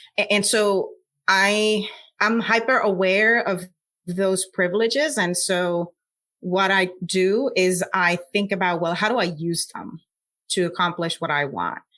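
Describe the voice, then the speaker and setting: A bright, sharp tone with a Puerto Rican accent. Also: woman, medium pitch for a woman, ordinary pitch variation, fairly slow pace. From Puerto Rico. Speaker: scientist. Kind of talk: interview.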